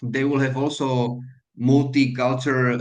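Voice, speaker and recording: A man speaks at medium pitch with a Slovak accent. His intonation is monotone and flat. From Slovakia. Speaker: hotel manager. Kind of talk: mentoring talk to students. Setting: video call. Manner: halting, many fillers.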